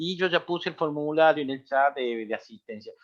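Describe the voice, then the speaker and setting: At a moderate pace, a man speaks with fairly high pitch. His pitch variation is ordinary. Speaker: seminar moderator. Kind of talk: interview questions in an online seminar. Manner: halting.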